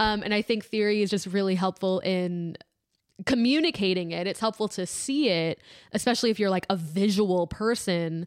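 Against a silent background on a very clean recording, a woman talks in an ordinary speaking voice with an American accent. Her pitch is medium and her pace moderate. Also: ordinary pitch variation. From Maryland, US. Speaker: guitarist. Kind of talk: casual chat. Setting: studio.

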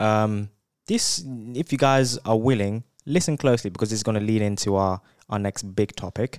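A man's unremarkable speaking voice with ordinary pitch variation, dry and close with no echo, in a very clean recording with a silent background. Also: fairly low pitch for a man, moderate pace. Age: 20s. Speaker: podcast co-host, medical student. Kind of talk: casual chat.

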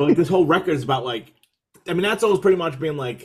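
A man speaks in a somewhat breathy voice with an American accent. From New York City, Brooklyn. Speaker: hardcore musician and podcaster. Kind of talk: casual chat. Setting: video call.

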